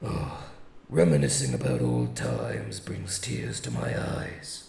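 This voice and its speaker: A man does a raspy, cartoonish character voice at a fairly slow pace, with slight echo. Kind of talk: anime dub performance. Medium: dub. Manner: calm, measured, formal.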